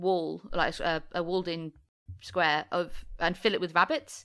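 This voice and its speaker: With a slight Midlands accent, a woman talks fairly slowly at a medium pitch in a very clean recording with a silent background. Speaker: podcast co-host. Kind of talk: casual chat.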